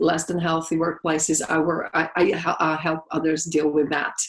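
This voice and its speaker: A woman with a fairly low voice keeps a moderate speed while background noise is noticeable. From Slovakia. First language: Slovak. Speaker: massage therapist and business owner. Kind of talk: interview. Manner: halting.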